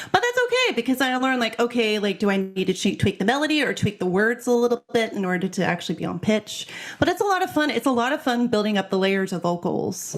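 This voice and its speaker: A woman with an American accent talks at a very fast pace with hardly any pauses, her fairly high voice full of lively intonation over noticeable background noise. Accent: American, lets it through. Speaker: singer-songwriter. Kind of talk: casual interview chat.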